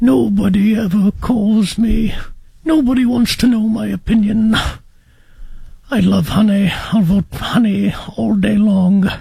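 The put-on character voice moves at a fairly slow pace with a fairly high pitch. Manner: slow, gentle, sad.

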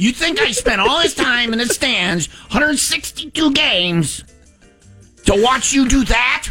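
Faint music plays behind a man doing a put-on character voice at an extremely high pitch and a fairly slow pace. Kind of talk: parental reprimand. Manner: scolding, incredulous.

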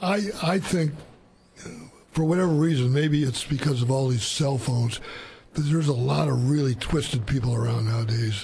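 Amid audible room echo, a man with vocal fry speaks at medium pitch and moderate pace, his slightly mellow tone showing ordinary pitch variation.

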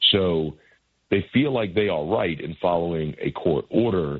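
Low-pitched and with a slightly husky edge, a man speaks fairly slowly with lively intonation.

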